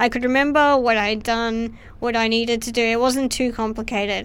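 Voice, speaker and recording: The woman's voice is fairly high, with fairly even intonation. She keeps a moderate pace. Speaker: filmmaker. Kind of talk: casual interview chat. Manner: quiet, soft-spoken.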